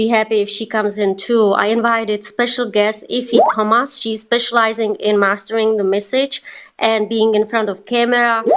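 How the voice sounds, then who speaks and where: With a non-native accent, a woman speaks at a moderate pace in a fairly high, monotone voice with flat intonation. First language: not English. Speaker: TikTok coach. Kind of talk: live online group session.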